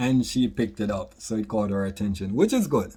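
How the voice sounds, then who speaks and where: A man with a Jamaican accent speaks at a fairly quick pace in a dark, mellow tone and fairly low pitch, in a very clean recording with a silent background. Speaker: author and product creator. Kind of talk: casual vlog monologue.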